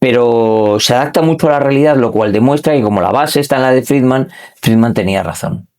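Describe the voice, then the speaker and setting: Medium in pitch, a man speaks at a fairly quick pace with ordinary pitch variation. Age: 60s. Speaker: wealth manager. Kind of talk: interview conversation. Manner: hesitant with fillers.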